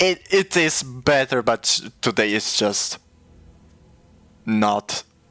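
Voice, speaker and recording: A man with a Polish accent speaks at a very slow pace, with long, frequent pauses, a medium pitch, a bright, sharp tone and lively intonation. The recording is very clean and dry, with a silent background and no echo. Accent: Polish accent, noticeable. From Poland. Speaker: streamer. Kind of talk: casual chat. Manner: halting, frequent stutters and restarts.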